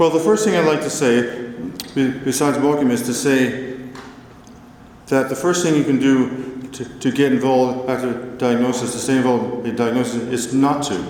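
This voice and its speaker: Amid noticeable background noise and audible room echo, a man talks at a moderate pace with fairly even intonation. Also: medium pitch for a man. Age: 50s. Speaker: motivational speaker with Parkinson's. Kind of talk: conference talk. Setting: stage with audience.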